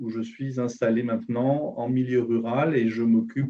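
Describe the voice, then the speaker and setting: A man's medium-pitched voice, dark and mellow in tone, monotone and flat, at a moderate pace. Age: 60s. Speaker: business transition advisor. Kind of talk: webinar presentation.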